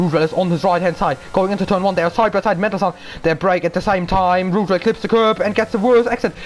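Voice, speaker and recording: Over noticeable background noise, a man with a high pitch talks very fast with hardly any pauses and very even loudness. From Germany. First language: German. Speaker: sim racing commentator. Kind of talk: live commentary. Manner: animated.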